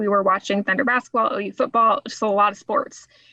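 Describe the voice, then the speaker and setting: A woman's fairly high pitch in an ordinary speaking voice, with fairly even intonation. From Oklahoma. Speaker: nonprofit fundraiser and speaker. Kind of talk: podcast interview.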